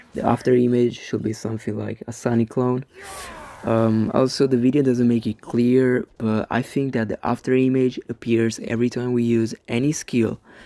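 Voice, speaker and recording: A man's medium-pitched, monotone, flat voice at a moderate pace, dry and close with no echo, over noticeable background noise. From Italy. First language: Italian. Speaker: gaming YouTuber. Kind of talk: commentary on game. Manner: halting, many fillers.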